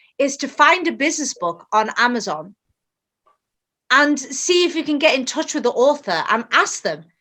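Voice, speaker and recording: With a British accent, the speaker uses a bright, sharp tone at a moderate pace, the pitch swinging very widely. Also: woman. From England. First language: Bengali. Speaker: author. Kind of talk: interview.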